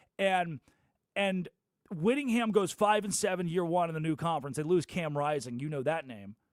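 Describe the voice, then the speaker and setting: Speaking at a moderate pace, a man with an American accent uses lively intonation and a fairly high pitch. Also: very clean recording, silent background. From Arkansas, US South. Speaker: sports radio host. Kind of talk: sports talk radio monologue. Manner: animated.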